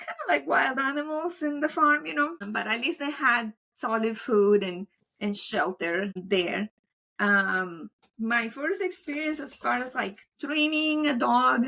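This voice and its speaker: A woman with a Colombian accent speaks at a high pitch. Her pitch swings very widely as she goes at a fairly slow pace. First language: Spanish. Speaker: veterinary technician and dog trainer. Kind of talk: podcast interview. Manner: casual, filler-heavy.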